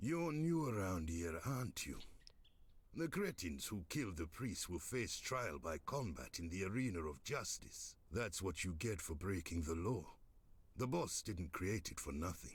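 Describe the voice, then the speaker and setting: A put-on character voice carries the speech. The pace stays moderate. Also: man, very deep, low pitch for a man. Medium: video game. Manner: gruff, sarcastic.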